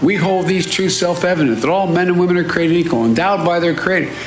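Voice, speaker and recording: Over noticeable background noise, a man talks at a very fast pace in a high pitch. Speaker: politician. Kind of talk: political speech. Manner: mumbling, halting.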